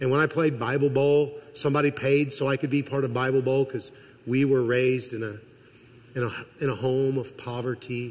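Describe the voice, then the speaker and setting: In an American accent, a man talks fairly quickly at medium pitch. His delivery is monotone and flat, and somewhat breathy. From Missouri. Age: 50s. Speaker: college president and guest preacher. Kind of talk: sermon. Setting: church.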